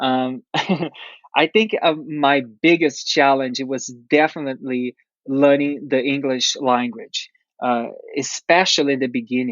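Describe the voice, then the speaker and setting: A man speaks with a Portuguese accent at a fairly slow pace. His pitch sits fairly high, with ordinary variation. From Brazil. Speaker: dancer and actor. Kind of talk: interview. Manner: halting, many fillers.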